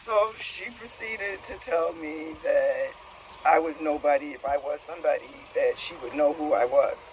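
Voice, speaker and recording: A man speaks at a moderate pace with big swings in loudness. Noticeable background noise is present. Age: 60s. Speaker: expat visitor. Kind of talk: casual chat. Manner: animated.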